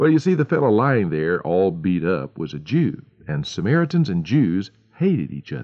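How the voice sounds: A natural reading voice is heard. The passage is read out in it.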